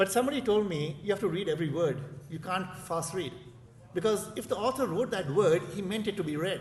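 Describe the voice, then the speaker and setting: A man with an Indian accent talks at a high pitch with ordinary pitch variation. Room echo is audible. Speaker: professor. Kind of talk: conference speech. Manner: fast; repetitive, hesitant fillers.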